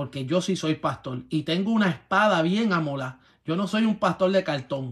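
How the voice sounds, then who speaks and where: A man with a fairly high pitch speaks at a moderate pace in an animated tone with lively intonation over a quiet background. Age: 40s. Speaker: pastor. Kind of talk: sermon. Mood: confrontational, preaching. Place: home room. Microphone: phone near.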